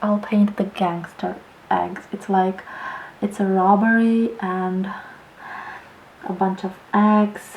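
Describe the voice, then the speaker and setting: A woman is speaking. She is soft-spoken. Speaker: painter. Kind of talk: ASMR painting tutorial.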